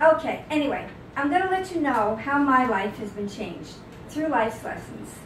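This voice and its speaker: In a New York accent, a woman speaks with very wide pitch swings, with audible room echo and noticeable background noise. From New York City. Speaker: author. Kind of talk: talk to audience. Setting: book signing with audience.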